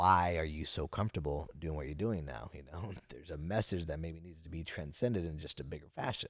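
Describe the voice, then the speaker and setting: A man speaks at a fairly quick pace with a very deep, low pitch and vocal fry. His pitch varies in an ordinary way while his loudness swings widely. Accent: American. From Napa Valley, California. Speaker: finance entrepreneur and public speaker. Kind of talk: casual interview chat. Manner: halting, repeats words.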